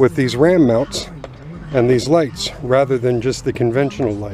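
Dry with no echo, a man speaks at a moderate pace while faint music plays in the background. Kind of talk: casual vlog chat. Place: open country. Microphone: phone near.

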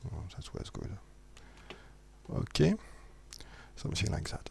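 A man with a non-native accent sounds somewhat breathy. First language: not English. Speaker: 3D modeling tutorial maker. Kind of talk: software tutorial voice-over. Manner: hesitant, many fillers.

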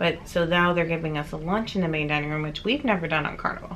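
Amid light background noise, a woman talks at a very fast pace with ordinary pitch variation. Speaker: travel vlogger. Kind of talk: casual vlog chat. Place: boat. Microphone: phone near.

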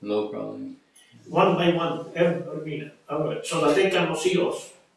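A man with a Puerto Rican accent at a fairly quick pace, in strong room echo. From Puerto Rico. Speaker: army veteran. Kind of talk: oral history interview answer. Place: home room.

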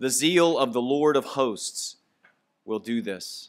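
Against a quiet background, the voice shows ordinary pitch variation. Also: man. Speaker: preacher. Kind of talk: sermon. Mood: calm, solemn. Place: church. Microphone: podium.

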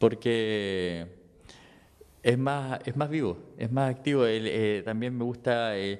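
This man speaks very slowly in a Chilean accent. His pitch is medium, with ordinary variation. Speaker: dancer; interviewee. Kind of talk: interview. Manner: halting, many repetitions. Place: home room. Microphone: handheld.

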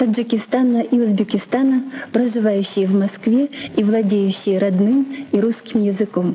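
A woman with a fairly high pitch, very even loudness, ordinary pitch variation and a moderate pace, over light background noise. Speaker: TV announcer. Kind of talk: TV announcement. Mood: warm, smiling, polite. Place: studio. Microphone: studio mic.

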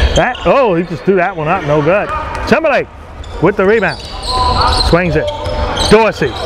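Loud background noise fills the recording. The sound is dry with no echo. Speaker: live basketball play-by-play commentator. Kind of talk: live sports commentary. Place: hall.

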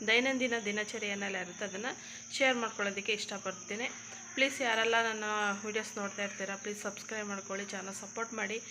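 Monotone, flat intonation comes through audible room echo and noticeable background noise. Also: woman, fairly high pitch for a woman. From India, Karnataka, Mysore district (Hunsur). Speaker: village lifestyle vlogger. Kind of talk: channel introduction vlog.

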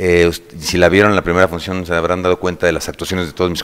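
Very deep and low in pitch, a man speaks at a very fast pace. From Mexico, Querétaro; Mexico. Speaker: actor. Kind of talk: interview. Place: hall.

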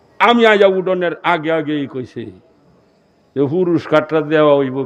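A man with a fairly high voice speaks with lively intonation, and some room echo can be heard. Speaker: Islamic preacher. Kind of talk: humorous sermon.

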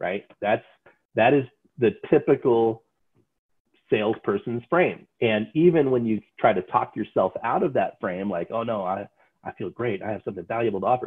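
Nothing much sounds behind the voice. Its tempo sits at a moderate level. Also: man. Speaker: sales trainer. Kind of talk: lecture. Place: home room. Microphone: video call.

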